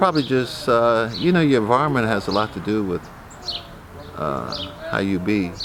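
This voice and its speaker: A medium-pitched male voice at a moderate pace, with very wide pitch swings and noticeable background noise. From US Midwest, Columbus, Ohio. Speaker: artist and community elder. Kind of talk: interview. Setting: gallery. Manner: relaxed, hesitant with many fillers.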